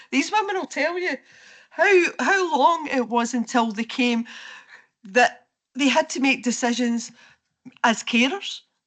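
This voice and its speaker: A woman with a Scottish accent speaks high-pitched and fairly slowly, with lively intonation and long, frequent pauses. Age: 60s. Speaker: local councillor. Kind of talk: council debate speech.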